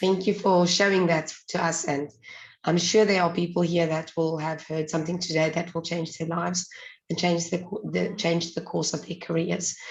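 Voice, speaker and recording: Her pitch sits fairly low, with monotone, flat intonation. The woman is somewhat breathy and keeps a moderate pace. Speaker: webinar host. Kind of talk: webinar moderation. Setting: video call.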